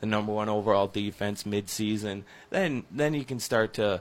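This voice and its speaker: A man's fairly low voice at a moderate pace, an ordinary speaking voice, on a very clean recording with a silent background. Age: 20s. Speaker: sports radio co-host. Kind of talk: sports talk radio. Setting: radio studio.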